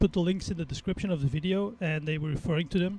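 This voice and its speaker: A man with a Flemish accent speaks in a high pitch. His intonation stays fairly even. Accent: Belgian (Flemish) English. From Belgium. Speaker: sim racing streamer. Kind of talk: casual live-stream chat while racing. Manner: halting, many fillers.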